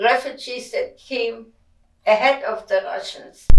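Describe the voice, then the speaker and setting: Speaking at a very slow pace, a woman with a German accent shows ordinary pitch variation. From Germany. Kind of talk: interview answer.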